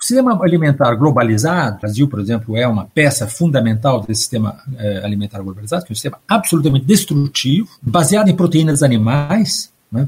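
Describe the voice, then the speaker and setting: A man talks at a fairly quick pace, his voice somewhat breathy. His fairly high pitch moves in very wide swings. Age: 60s. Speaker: history professor. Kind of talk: interview on environmental collapse.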